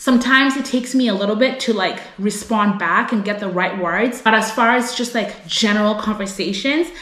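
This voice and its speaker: A woman's fairly high, animated voice at a fairly quick pace, with ordinary pitch variation and hardly any pauses, amid audible room echo and noticeable background noise. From United States. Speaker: vlogger. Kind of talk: casual vlog talk to camera.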